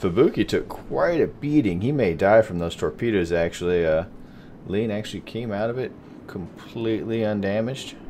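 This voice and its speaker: A man with a Texas accent speaks at a moderate pace in a dark, mellow tone, his fairly low pitch carried by lively intonation. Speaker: gaming commentator. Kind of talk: live gameplay commentary. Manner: casual, hesitant with fillers.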